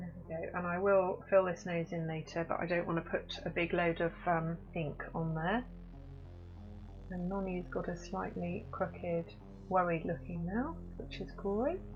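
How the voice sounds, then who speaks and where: Music plays in the background as a woman speaks at a fairly slow pace. Her voice is fairly low in pitch, with fairly even intonation. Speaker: portrait artist teaching drawing. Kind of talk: live-stream drawing tutorial.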